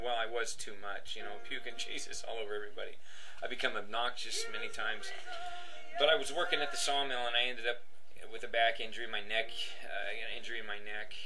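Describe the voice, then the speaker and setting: Words pour out of this man extremely quickly. Behind him, music can be heard. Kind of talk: personal testimony, casual monologue. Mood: earnest, emotional. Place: home room. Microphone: webcam.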